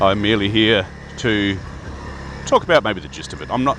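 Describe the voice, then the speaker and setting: Very fast speech in an Australian accent, with lively intonation and noticeable background noise. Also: man. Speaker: Freemason video host. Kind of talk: casual talk to camera. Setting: outdoors riding a bike.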